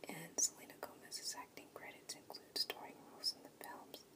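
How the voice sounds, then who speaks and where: With noticeable background noise, a woman whispers at a moderate pace. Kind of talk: ASMR biography reading. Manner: soft-spoken.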